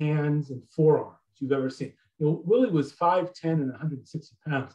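With an American accent, the speaker has a dark, mellow tone and ordinary pitch variation against a quiet background. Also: man. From US Midwest. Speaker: author. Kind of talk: talk to an audience. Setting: video call. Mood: relaxed, storytelling. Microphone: video call.

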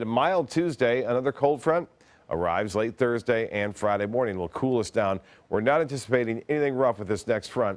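A man's fairly quick delivery carries lively intonation. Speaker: TV weather forecaster. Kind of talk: TV weather forecast, informative on-air report with banter. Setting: TV studio. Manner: steady, conversational, businesslike; halting with filler 'uh' pauses. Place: studio. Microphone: lapel.

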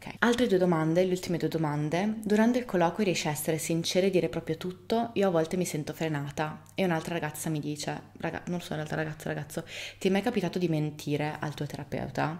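Speaking at a very fast pace, a woman uses a fairly low pitch. Her pitch variation is ordinary. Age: 30s. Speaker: video blogger. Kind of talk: casual monologue to camera. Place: home room.

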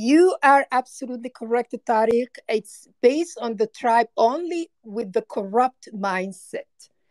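In a dry, close recording with no echo, a woman with a high pitch and lively intonation speaks at a fairly slow pace with hardly any pauses. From Somaliland, Horn of Africa. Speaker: caller. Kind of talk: call-in debate.

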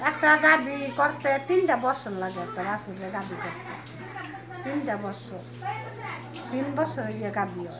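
A woman's voice with big swings in loudness over noticeable background noise. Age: old. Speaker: dairy farmer. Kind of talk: interview. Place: farm machine. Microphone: camera far.

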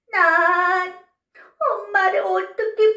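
Speaking very slowly at an extremely high pitch, a woman is heard with audible room echo over a quiet background. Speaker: children's storyteller teacher. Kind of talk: children's finger play and puppet storytelling. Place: studio.

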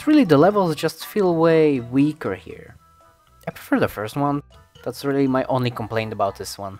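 Background music accompanies the speech. The intonation rises and falls in a lively way. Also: man, fairly high pitch for a man, moderate pace. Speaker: video game commentator. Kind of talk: casual video game commentary voice-over. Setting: low-quality home microphone recording. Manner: stuttering; unscripted, rambling.

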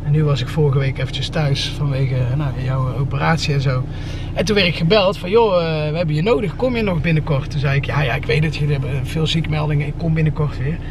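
A man at a very fast pace, with ordinary pitch variation, a dry sound with no echo, and noticeable background noise. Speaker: family vlogger. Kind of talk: casual vlog chat. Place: car. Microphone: phone near.

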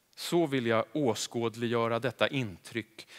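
Against a quiet background, a man speaks at a fairly slow pace. His intonation is fairly even. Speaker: actor. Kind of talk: reading aloud. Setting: stage with audience. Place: stage.

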